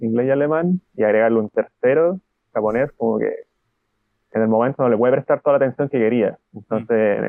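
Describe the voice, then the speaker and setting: With a medium-pitched voice and ordinary pitch variation, this man moves along fairly quickly. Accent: Chilean. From Chile, Concepción. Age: 20s. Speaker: translator and Japanese learner. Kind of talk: interview.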